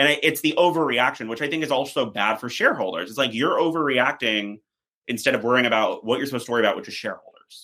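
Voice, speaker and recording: A man talks very fast in a medium pitch, and his pitch varies in an ordinary way. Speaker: PR strategist. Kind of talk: podcast interview.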